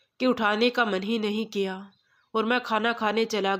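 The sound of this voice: Fairly even intonation from an unforced reading voice, set against a quiet background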